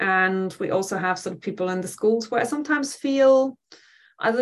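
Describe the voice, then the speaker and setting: A woman speaks in a German accent. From Germany, west near Dutch border. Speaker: professor. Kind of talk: interview.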